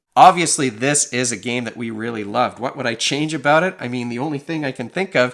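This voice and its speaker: Recorded very cleanly against a silent background, a man at medium pitch talks at a fairly quick pace with ordinary pitch variation. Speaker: board game reviewer. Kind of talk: video review. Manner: repetitive, halting.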